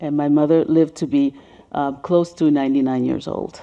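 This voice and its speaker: Speaking with a Spanish accent, the woman has a very deep, low pitch. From Caribbean, then New York City from age ten. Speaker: race healing educator and speaker. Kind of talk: presentation with slides. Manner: conversational with fillers.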